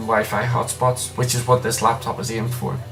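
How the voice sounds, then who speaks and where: Music behind a man talking fairly quickly at a medium pitch. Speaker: tech reviewer. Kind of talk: casual product review to camera. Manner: stuttering, hesitant.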